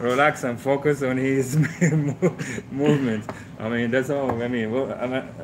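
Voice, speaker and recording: With a Moroccan accent, a man talks at a moderate pace and a medium pitch. Noticeable background noise is present. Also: fairly even intonation. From Morocco. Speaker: truck driving instructor. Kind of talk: casual interview. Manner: halting.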